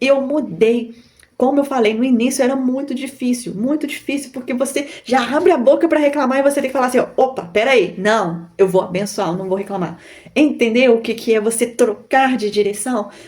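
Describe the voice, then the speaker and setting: A woman with a Minas Gerais accent, high-pitched and animated in tone, at a moderate pace with ordinary pitch variation, amid noticeable background noise. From Brazil, Minas Gerais. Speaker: YouTuber, online seller. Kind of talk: motivational talk to camera. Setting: recording to camera.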